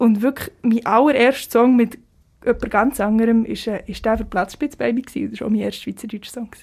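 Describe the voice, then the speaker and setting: Speaking at a fairly quick pace, a woman with a fairly high pitch has a plain, everyday voice. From Switzerland, Biel (Seeland). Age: 20s. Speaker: singer-songwriter, music student. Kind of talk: casual interview.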